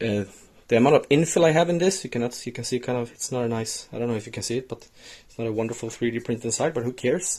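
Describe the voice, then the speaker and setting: Talking at a very fast pace, a man with a Swedish accent has a somewhat breathy voice at a medium pitch with ordinary pitch variation. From Sweden. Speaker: DIY maker, video host. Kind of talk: tutorial. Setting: workshop shed.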